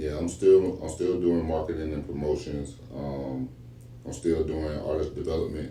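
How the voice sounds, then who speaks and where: There is audible room echo as a man speaks at a moderate pace in a very deep, low pitch with fairly even intonation. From US South, coastal Georgia (Midway). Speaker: rapper and music promoter. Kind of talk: podcast interview.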